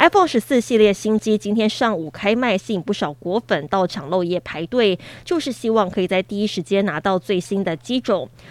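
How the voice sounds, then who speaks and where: A woman with a Taiwanese accent speaks at a fairly quick pace at medium pitch, using lively intonation and hardly any pauses, in a dry, close sound with no echo. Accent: Taiwanese Mandarin. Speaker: news anchor. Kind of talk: news reading. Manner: formal.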